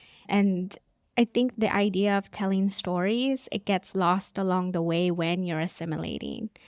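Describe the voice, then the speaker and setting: A woman with a Spanish accent speaks at a fairly slow pace and medium pitch, her intonation fairly even, in a very clean recording with a silent background and a dry, close sound with no echo. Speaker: podcast host and business coach. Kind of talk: interview conversation.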